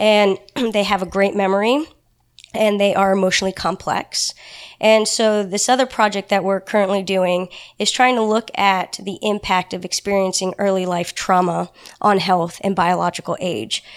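A woman with a plain, everyday voice talks at a medium pitch and a moderate pace with fairly even intonation, on a very clean recording with a silent background. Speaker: elephant researcher. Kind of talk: casual interview chat.

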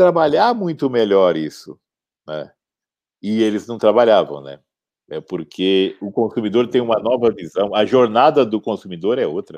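Over a quiet background, a man speaks at a fairly slow pace with a dark, mellow tone and big swings in loudness. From Campo Grande, Brazil. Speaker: entrepreneur, founder of a consumer complaints website. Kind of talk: interview.

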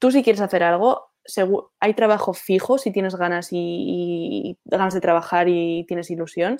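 A woman speaks at a moderate pace with fairly even intonation and a dark, mellow tone, her voice sounding dry and close with no echo against a quiet background. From Spain, Basque Country (Bilbao). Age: 20s. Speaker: young entrepreneur, marketing agency founder. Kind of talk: casual interview. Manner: halting, many fillers and repetitions.

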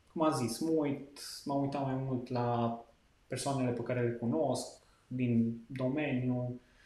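Noticeable background noise and audible room echo surround a man who speaks fairly slowly with a medium pitch and fairly even intonation. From western Romania, Lipova near Arad. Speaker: wedding videographer. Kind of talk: casual interview chat.

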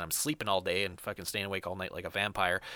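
Fairly low in pitch yet bright and sharp in tone, a man with a Canadian accent is heard in a very clean recording with a silent background. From Canada. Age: 30s. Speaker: stunt rider. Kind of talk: casual chat.

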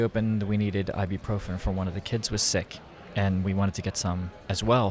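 A normal speaking voice with an American accent at a fairly quick pace. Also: man. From Philadelphia, US. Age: 50s. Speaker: photographer. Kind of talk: casual interview. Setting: conference venue.

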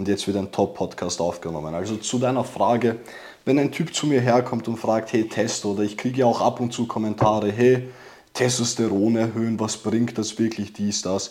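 A man talks at a moderate pace with a medium pitch. He has an ordinary speaking voice. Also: ordinary pitch variation. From immigrant background. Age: 20s. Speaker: testosterone course seller. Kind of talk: casual chat.

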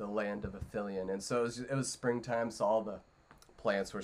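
The voice reads aloud naturally, keeping a fairly even intonation.

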